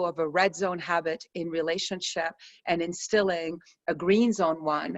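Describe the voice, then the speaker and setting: A woman speaks in a calm tone with monotone, flat intonation. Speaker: stress reduction coach. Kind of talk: online course session. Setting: video call. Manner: slow, calm.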